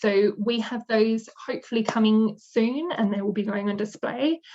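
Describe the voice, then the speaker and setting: A woman speaks at a medium pitch and a moderate pace. Her voice is somewhat breathy, with fairly even intonation. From Western Australia (Perth). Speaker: museum manager. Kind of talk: presentation talk.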